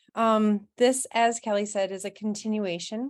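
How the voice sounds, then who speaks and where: Against a quiet background, a woman with a plain, everyday voice speaks at a medium pitch with fairly even intonation. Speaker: parent advocate and presenter. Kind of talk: presentation.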